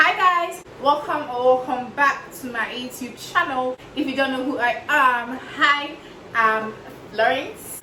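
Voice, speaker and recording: A woman's raised, projected voice, high-pitched with ordinary pitch variation and a Ghanaian accent, at a very slow pace amid audible room echo and noticeable background noise. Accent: Ghanaian accent coming through. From Ghana, Fante. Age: 20s. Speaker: YouTuber, reaction video maker. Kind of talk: casual vlog chat.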